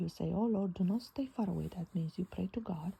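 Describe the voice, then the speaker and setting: The speaker talks at a moderate pace. There is a non-native accent. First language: not English. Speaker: Bible journaling teacher. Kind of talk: bible study talk. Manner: hesitant, with many fillers.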